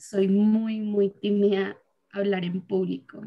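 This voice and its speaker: Her medium-pitched voice stays in a monotone, flat intonation as the woman speaks. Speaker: workshop participant. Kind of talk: casual group discussion.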